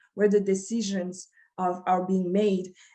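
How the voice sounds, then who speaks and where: In a French accent, a woman talks at a fairly slow pace. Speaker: community advocate and former city council candidate. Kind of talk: panel discussion. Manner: halting, many fillers and restarts.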